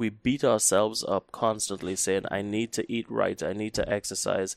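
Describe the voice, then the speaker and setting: Delivered in a Trinidadian accent at a moderate pace, the monotone, flat speech has a dry, close sound with no echo on a very clean recording with a silent background. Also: man. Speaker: psychologist. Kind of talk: casual chat.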